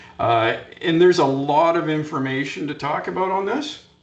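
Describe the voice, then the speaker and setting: Ordinary pitch variation in a Canadian accent, with audible room echo. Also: man. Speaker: fall protection safety trainer. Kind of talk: conference presentation. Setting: conference session.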